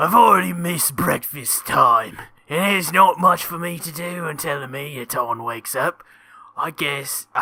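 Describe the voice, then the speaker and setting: A man puts on a raspy, high-pitched character voice. His pace is moderate. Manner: lazy, sleepy, bored.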